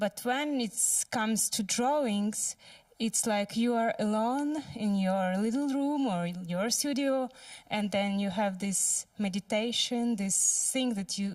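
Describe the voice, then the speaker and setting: A woman with a non-native accent speaks fairly slowly at a fairly high pitch, keeping her loudness very even and her pitch variation ordinary. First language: not English. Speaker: audience member, artist and sculptor. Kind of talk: audience Q&A comment. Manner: halting.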